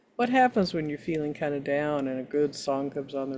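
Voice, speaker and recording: A woman's very deep, low voice with a dark, mellow tone, ordinary pitch variation and a moderate pace. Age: 70s. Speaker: minister. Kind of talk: sermon. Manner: halting.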